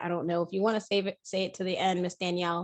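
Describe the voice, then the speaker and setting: Her pitch is medium for a woman. Behind her, the background is quiet. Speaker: educator and speaker. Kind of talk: webinar presentation. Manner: fast.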